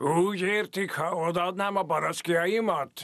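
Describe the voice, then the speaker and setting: A man puts on a character voice with a high pitch. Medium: fan dub. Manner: gruff, curt.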